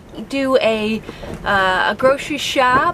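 A woman's voice over noticeable background noise. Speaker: sailing family vlogger. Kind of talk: casual vlog chat. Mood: calm, slightly anxious. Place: boat. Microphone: phone near.

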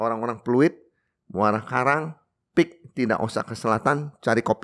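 At a fairly slow pace, a man is speaking. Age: 60s. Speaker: coffee shop owner; podcast guest. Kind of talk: casual interview. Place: studio. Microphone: studio mic.

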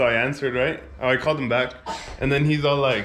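Light background noise sits behind a man's speaking voice. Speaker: car vlogger. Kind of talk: casual vlog chat. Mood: amused, laughing. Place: garage. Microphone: phone near.

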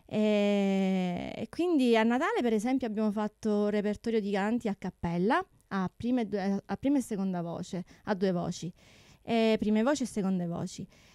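Against a quiet background, a woman speaks in a dark, mellow tone with ordinary pitch variation and a dry sound with no echo. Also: medium pitch for a woman, moderate pace. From Sicily, Tortorici. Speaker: opera soprano and music teacher. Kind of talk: radio interview. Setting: radio studio. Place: studio. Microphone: studio mic.

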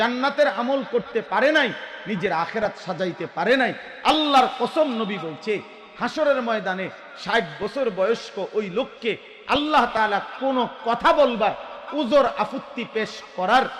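An extremely high-pitched male voice with noticeable background noise. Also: ordinary pitch variation. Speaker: Islamic preacher. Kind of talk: sermon. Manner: animated.

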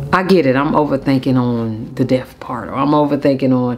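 A woman speaks in a very deep, low pitch at a fairly slow pace. Her pitch varies in an ordinary way, with light background noise behind her. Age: 30s. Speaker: YouTuber; vlogger. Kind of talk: casual vlog storytime. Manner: animated. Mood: reflective, candid. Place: home room.

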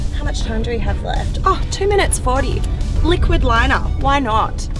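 At a moderate pace, the voice comes through dry with no echo, with clear music in the background. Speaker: presenter. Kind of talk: casual vlog chat. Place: car. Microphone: camera far.

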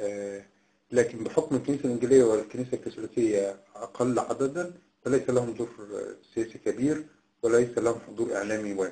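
At a moderate pace, a man speaks with medium pitch, ordinary pitch variation and a dark, mellow tone. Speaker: political analyst. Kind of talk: interview. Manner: formal.

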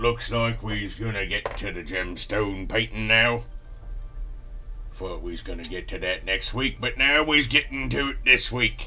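A man does a put-on character voice at a moderate pace over clear background noise. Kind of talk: rough, ungrammatical.

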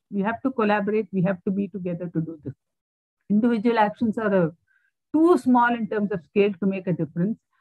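Dry with no echo over a quiet background, a woman speaks at a very fast pace, somewhat breathy, with ordinary pitch variation. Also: medium pitch for a woman. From India. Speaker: climate researcher, keynote speaker; keynote speaker. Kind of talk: lecture. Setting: video call. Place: home room. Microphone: earbuds.

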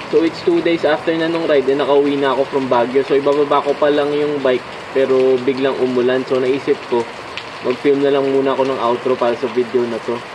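A fairly quick man with monotone, flat intonation amid noticeable background noise. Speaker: cycling vlogger. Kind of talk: casual vlog chat. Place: car. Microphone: phone near.

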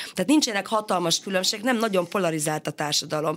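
A woman in a normal speaking voice, medium in pitch and with ordinary pitch variation. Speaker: education researcher and sociologist. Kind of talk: radio interview.

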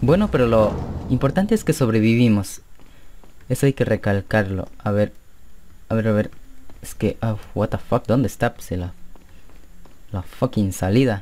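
A man's dark, mellow, medium-pitched voice at a fairly slow pace, with ordinary pitch variation and long, frequent pauses. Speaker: gaming youtuber. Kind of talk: gameplay commentary. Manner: animated.

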